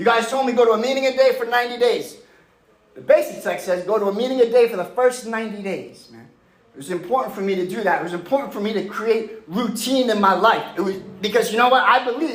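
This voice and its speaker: Delivered in a passionate tone with an American accent, the speech races at a very fast pace with ordinary pitch variation and audible room echo. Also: man, high pitch for a man. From New York, Long Island (Mastic). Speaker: recovering addict, 12-step speaker. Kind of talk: recovery testimony. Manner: loud, passionate.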